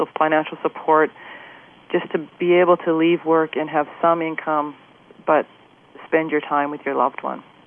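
This woman has a very deep, low pitch and a monotone, flat intonation. She talks at a moderate pace. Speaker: family caregiver, widow of ALS patient. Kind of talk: interview conversation.

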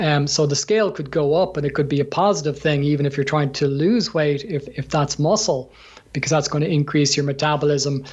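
Somewhat breathy, a man with an Irish accent talks at a fairly quick pace. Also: ordinary pitch variation. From Ireland. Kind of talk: interview, conversational.

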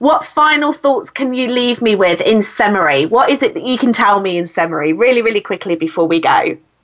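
A woman with a British accent, a fairly high pitch and very wide pitch swings, at a fairly quick pace with hardly any pauses. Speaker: podcast host and speaking coach. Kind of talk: interview conversation. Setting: phone call. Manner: warm, animated.

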